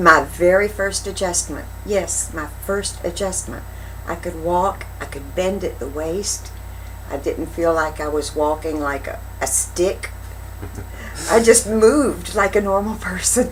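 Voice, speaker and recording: The voice moves at a fairly slow pace with big swings in loudness. Noticeable background noise runs underneath. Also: woman. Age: 60s. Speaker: chiropractic patient. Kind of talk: interview answer.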